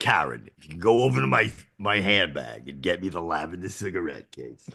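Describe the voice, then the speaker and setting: A man's put-on character voice, raspy and very deep, with lively intonation, big swings in loudness and a fairly quick pace. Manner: commanding, polite demand.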